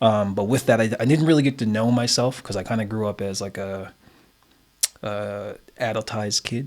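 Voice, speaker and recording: With a Nova Scotian accent, a man speaks at a moderate pace and medium pitch in fairly even intonation. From Nova Scotia, Canada (East Preston). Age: 30s. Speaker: community association chairman, retired bodybuilder. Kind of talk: podcast interview. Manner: hesitant, many fillers.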